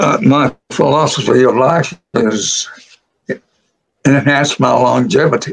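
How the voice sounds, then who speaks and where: With vocal fry and a fairly high pitch, a man talks at a fairly slow pace, leaving long, frequent pauses. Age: 90s. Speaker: author. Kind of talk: interview. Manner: halting.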